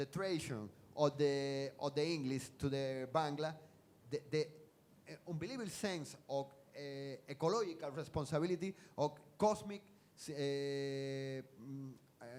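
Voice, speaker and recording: Moderate pace with long, frequent pauses and ordinary pitch variation. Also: man, fairly high pitch for a man. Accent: Spanish. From Cuba, Havana. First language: Spanish. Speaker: science fiction writer. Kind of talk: stage interview. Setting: stage with audience. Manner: halting.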